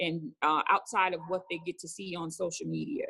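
Female voice with a bright, sharp tone in an American accent. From New Orleans, Louisiana. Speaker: caterer, business owner. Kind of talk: interview. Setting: on location at event venue.

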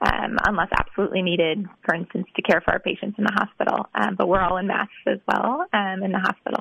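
A woman with an American accent has a plain, everyday voice at a medium pitch. She speaks fairly quickly and evenly, with hardly any pauses. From Wisconsin. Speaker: medical resident. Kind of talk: radio interview.

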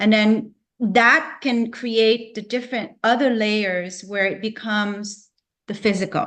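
With a plain, everyday voice, a woman speaks fairly slowly at a fairly high pitch, her intonation fairly even. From Canada, Vancouver. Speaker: natural medicine practitioner and business owner. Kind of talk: interview.

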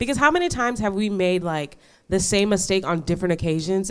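A woman with an American accent in a normal speaking voice, medium pitch, fairly quick pace and ordinary pitch variation, on a very clean recording with a silent background. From New York. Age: 20s. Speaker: law enforcement officer. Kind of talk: casual chat.

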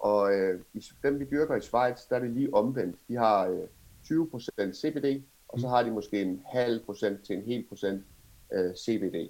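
A man speaks at a very slow pace with ordinary pitch variation and long, frequent pauses. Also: medium pitch for a man. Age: 30s. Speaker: cannabis entrepreneur. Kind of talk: interview.

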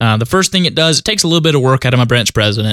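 A man with a Southern US accent, medium pitch, a bright, sharp tone and lively intonation, in a dry, close sound with no echo. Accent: Southern US, noticeable country. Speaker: union shop steward. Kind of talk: tutorial. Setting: pre-recorded episode.

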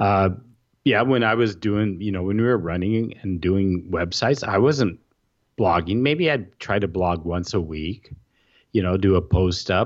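Against a quiet background, a man speaks at a fairly slow pace with a fairly low pitch and ordinary pitch variation. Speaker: WordPress blogger and podcaster. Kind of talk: casual interview conversation. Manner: articulate, chooses words carefully.

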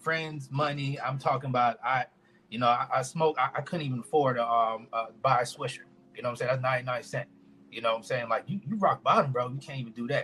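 At a fairly quick pace, a man talks in a bright, sharp tone at medium pitch with ordinary pitch variation. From US Virgin Islands (St. Thomas), raised in Orlando, Florida. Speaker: independent rapper. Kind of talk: podcast interview.

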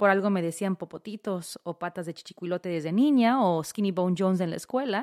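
In a very clean recording with a silent background and dry, close sound with no echo, a woman speaks at a fairly quick pace in an animated tone with lively intonation. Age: 40s. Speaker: podcast host. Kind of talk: casual monologue.

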